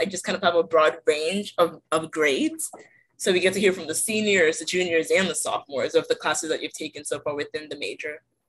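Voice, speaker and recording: Speaking at a very fast pace, a woman has a fairly low pitch. She talks with an American accent. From Delaware, US (born in Nigeria, moved 2008). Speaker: engineering student, podcast host. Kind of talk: casual chat.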